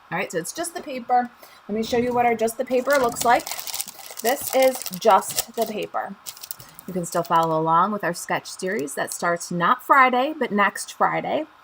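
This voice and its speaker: Noticeable background noise sits under the voice. The speaker has a Chicago accent and very wide pitch swings. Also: woman, fairly high pitch for a woman, moderate pace. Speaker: craft demonstrator and channel host. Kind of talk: live stream tutorial and chat. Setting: live stream on Facebook and YouTube. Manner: casual, chatty with filler ums.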